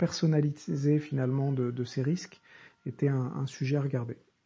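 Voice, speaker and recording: Against a quiet background, a man with a fairly high pitch and a dark, mellow, somewhat breathy tone speaks at a moderate pace with fairly even intonation. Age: 30s. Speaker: professional coach and podcast host. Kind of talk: solo monologue podcast. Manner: halting, many repetitions and fillers; improvised, off the cuff.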